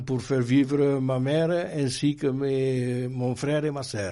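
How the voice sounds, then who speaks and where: Very slowly and with fairly even intonation, a man with a fairly high pitch speaks in a dark, mellow tone. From France, Dordogne (Périgord). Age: 80s+. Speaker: Resistance veteran. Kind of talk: oral history interview. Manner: halting, with frequent hesitations.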